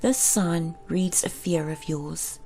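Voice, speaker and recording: A woman speaks in a gentle tone with a South African accent. Music plays in the background. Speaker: meditation guide. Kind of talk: guided meditation. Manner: gentle, slow, soft-spoken.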